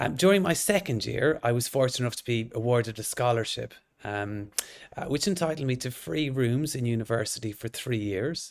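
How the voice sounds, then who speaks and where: On a very clean recording with a silent background, a man speaks with an Irish accent. His intonation is lively and his pace fairly quick. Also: medium pitch for a man. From northwest Ireland (County Sligo). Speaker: orthodontist and lecturer. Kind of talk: lecture.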